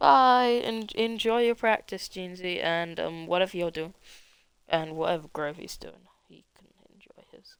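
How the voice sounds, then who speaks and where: The voice moves at a fairly slow pace with ordinary pitch variation and big swings in loudness. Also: woman, medium pitch for a woman. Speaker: sim racing commentator. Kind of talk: live commentary. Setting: live stream. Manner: halting.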